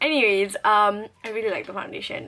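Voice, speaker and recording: At a fairly quick pace and medium pitch, a woman speaks while noticeable background noise fills the clip. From Singapore. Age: 20s. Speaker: beauty vlogger. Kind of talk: casual product review vlog.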